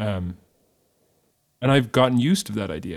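In a western Irish accent, a man speaks at a medium pitch and a moderate pace with lively intonation. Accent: Irish (west of Ireland). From Ireland, Galway. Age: 30s. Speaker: musician, singer and guitarist. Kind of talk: casual interview.

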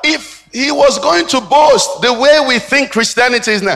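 Speaking at a moderate pace, this man has an extremely high voice with ordinary pitch variation. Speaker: pastor. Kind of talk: sermon. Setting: church.

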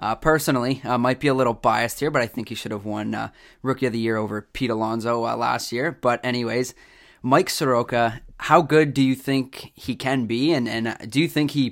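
A man with a Canadian accent speaks in a normal speaking voice at a moderate pace, with fairly even intonation. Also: very clean recording, silent background. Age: 20s. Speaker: podcast host. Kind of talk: casual interview. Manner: many filler words.

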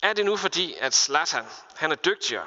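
A man talks at a moderate speed, his pitch moving with ordinary variation. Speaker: pastor. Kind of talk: sermon.

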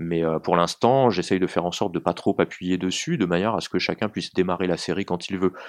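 A man's very deep, low voice at a very fast pace with ordinary pitch variation, dry and close with no echo, against a quiet background. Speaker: novelist. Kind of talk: interview. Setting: small room. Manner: halting.

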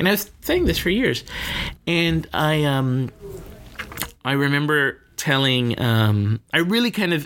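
Noticeable background noise is present. A man's voice comes through over it. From Miami, Florida. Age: 40s. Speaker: filmmaker and cinema founder. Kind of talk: interview.

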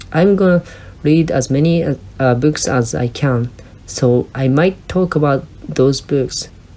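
A woman's very deep, low voice with a Japanese accent, very slow pace, very even loudness, ordinary pitch variation and noticeable background noise. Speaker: podcast host. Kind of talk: solo monologue, partly read from script. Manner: halting.

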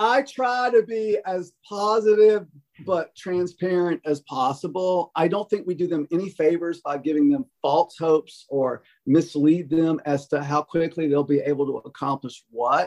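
A man talks at a fairly slow pace with high pitch and lively intonation. The sound is dry and close, with no echo. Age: 60s. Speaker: music professor. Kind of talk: interview.

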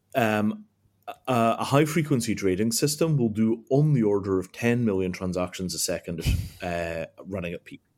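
On a very clean recording with a silent background, a man with an ordinary speaking voice talks at medium pitch and a moderate pace, with lively intonation. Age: 40s. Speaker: tech company founder. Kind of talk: interview.

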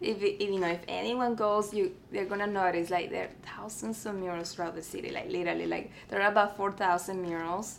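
A woman with a Spanish accent speaks at a medium pitch and a fairly quick pace, with hardly any pauses. Her intonation is flat and monotone. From Mexico, Tamaulipas border town. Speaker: artist and art teacher. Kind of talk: interview.

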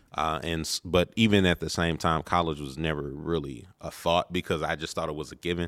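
A man speaks at a fairly quick pace with hardly any pauses, his pitch very deep and low with vocal fry. His intonation is fairly even, and the recording is very clean with a silent background. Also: dry, close sound with no echo. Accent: American. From Maryland, Baltimore area. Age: 30s. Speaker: minister. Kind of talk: casual interview. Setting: on location.

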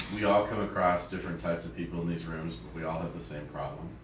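Against noticeable background noise, a man speaks with a very deep, low pitch. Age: young. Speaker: meeting attendee. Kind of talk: testimony.

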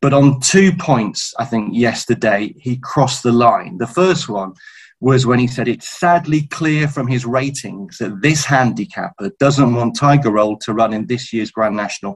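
A man talks at a moderate pace with hardly any pauses. His pitch is medium, with ordinary variation. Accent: British. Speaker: racing journalist. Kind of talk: casual chat.

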